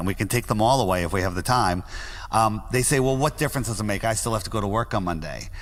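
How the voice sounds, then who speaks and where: A man with an American accent talks at a very fast pace and a medium pitch. Noticeable background noise is present. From US Northeast, Greenwich, Connecticut. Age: 60s. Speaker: flat earth podcaster. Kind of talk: interview.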